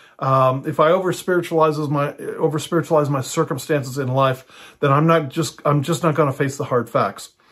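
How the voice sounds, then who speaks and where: A man with an unremarkable speaking voice talks at a fairly high pitch with fairly even intonation and hardly any pauses. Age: 60s. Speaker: pastor and house church teacher. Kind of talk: teaching monologue. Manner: casual with frequent fillers.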